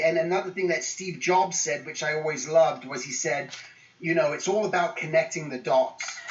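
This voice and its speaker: Over noticeable background noise, a man speaks at a high pitch with an English accent. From England. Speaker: guest speaker. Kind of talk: motivational talk to students. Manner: casual, many fillers.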